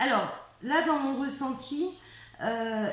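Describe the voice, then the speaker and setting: Her pitch varies in an ordinary way as a woman speaks with audible room echo. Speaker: tarot reader and medium. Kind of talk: tarot reading. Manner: halting, many hesitations.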